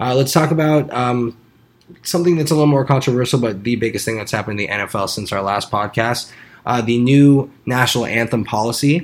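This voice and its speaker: A man with an American accent and an ordinary speaking voice, medium in pitch, at a moderate pace with ordinary pitch variation. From Arizona. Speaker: sports podcast co-host. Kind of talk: casual chat.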